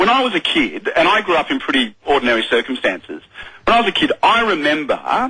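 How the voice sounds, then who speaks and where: His pitch swings very widely. The man talks in an Australian accent. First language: sign language. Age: young. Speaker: politician. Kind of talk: radio interview. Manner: animated.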